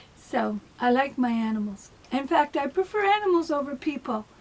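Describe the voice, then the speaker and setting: Amid noticeable background noise, a woman with a high voice speaks at a moderate pace, her pitch swinging very widely. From Canada (Ontario). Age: 60s. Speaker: vlogger. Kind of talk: casual personal monologue. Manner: hesitant, many fillers.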